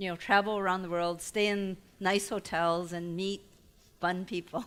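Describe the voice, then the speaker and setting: The woman's voice sits at a medium pitch and stays monotone and flat. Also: moderate pace. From Taiwan-born immigrant family, raised in US. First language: not English (English is her third language). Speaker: entrepreneur and guest lecturer. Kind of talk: lecture. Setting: lecture hall with audience. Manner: conversational, audience-engaging.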